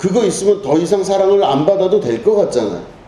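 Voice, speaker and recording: Over noticeable background noise and audible room echo, a man speaks in a high voice at a moderate pace. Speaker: pastor. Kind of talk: sermon.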